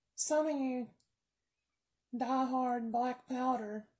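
At a very slow pace, a woman talks in a high pitch with monotone, flat intonation. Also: long, frequent pauses. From US South. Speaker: firearms video creator. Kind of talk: tutorial. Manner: rambling, casual.

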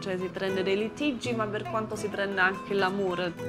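Clear music plays in the background. A woman speaks at a very fast pace. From Germany. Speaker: German woman living in Naples. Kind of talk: documentary interview answer. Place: open country.

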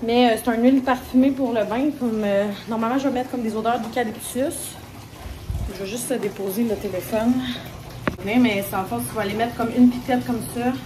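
A woman with a Quebec accent speaks at a fairly quick pace in a fairly high pitch, leaving long, frequent pauses, with noticeable background noise behind her. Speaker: vlogger. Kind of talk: casual vlog talk to camera. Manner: animated. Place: bathroom. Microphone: phone near.

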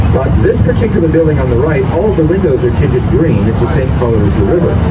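Someone talks at a very fast pace against loud background noise. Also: man. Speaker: boat tour guide. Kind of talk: tour guide commentary. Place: boat.

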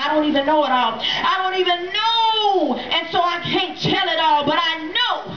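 In a room with audible echo and light background noise, a woman talks at a moderate pace with ordinary pitch variation. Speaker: church member performing a spoken word poem. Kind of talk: spoken word poem delivered at a church revival. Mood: triumphant, praising. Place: tent.

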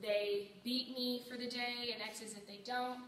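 Her intonation is monotone and flat. Audible room echo and light background noise surround the woman's voice. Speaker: choir teacher. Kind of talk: interview answer. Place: classroom. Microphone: phone near.

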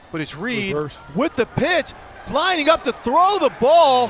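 A man's voice, swinging very widely in pitch at a moderate pace, comes through noticeable background noise. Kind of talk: live football play-by-play commentary.

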